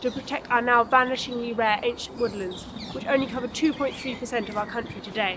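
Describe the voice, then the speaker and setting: Fairly quick speech in a southern English accent, with noticeable background noise. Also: woman. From England, Oxford. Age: 20s. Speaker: competition entrant. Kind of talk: pitch presentation. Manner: scripted.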